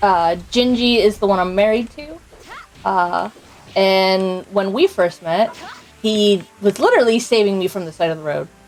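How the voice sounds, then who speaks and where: Music plays behind a woman speaking with an American accent at medium pitch. Her loudness swings widely at a moderate pace. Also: ordinary pitch variation. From US Northeast. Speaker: video game streamer. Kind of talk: casual live-stream chat while gaming. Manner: halting, many fillers.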